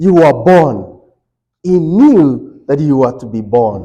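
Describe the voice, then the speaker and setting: A loud man's voice, dark and mellow in tone, at a very slow pace. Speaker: Bible study teacher. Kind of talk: Bible study lesson. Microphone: speaking without microphone, muted it.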